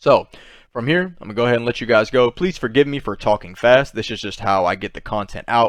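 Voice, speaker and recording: A man speaks at medium pitch and a fairly quick pace, with ordinary pitch variation. The background is quiet. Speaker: crypto YouTuber. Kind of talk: market analysis commentary. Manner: fast; casual, filler-heavy.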